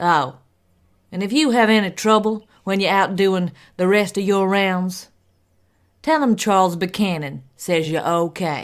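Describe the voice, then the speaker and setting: In a put-on character voice with an Appalachian accent, a woman speaks gruffly at a fairly slow pace and medium pitch, on a very clean recording with a silent background. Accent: Appalachian rural. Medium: stage play. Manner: gruff, blunt.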